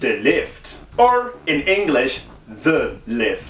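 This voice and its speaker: A man with a Dutch accent, over noticeable background noise. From Netherlands. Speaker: movie reviewer. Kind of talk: video review commentary. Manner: hesitant, frequent word repetitions.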